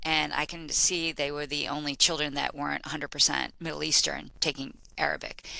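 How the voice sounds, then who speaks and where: A woman speaks with a Boston accent at a fairly quick pace. She hardly pauses at all. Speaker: learning and development executive. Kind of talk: podcast interview. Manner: animated.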